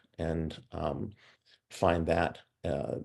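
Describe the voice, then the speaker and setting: The recording is very clean, with a silent background behind a man talking. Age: 60s. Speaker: forensic psychologist. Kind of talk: lecture. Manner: halting.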